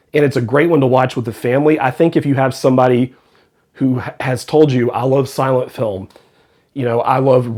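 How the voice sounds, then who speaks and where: A man with a plain, everyday voice speaks at a medium pitch and moderate pace with fairly even intonation. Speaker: film reviewer. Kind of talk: casual talk to camera.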